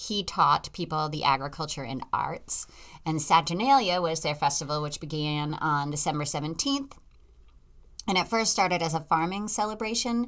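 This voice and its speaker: Fairly low-pitched, a woman speaks at a moderate pace with lively intonation. The recording is very clean, with a silent background. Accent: Boston. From Massachusetts, US. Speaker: podcast host. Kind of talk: casual chat.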